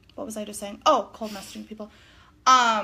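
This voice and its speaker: A woman with a northern US accent talks at a fairly high pitch, her bright, sharp tone carried by fairly even intonation. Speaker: direct sales consultant. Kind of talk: casual livestream chat. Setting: living room livestream.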